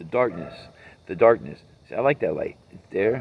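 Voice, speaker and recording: Lively intonation marks this man's medium-pitched voice, which carries vocal fry. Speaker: vlogger. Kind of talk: personal monologue vlog. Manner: rambling, repetitive.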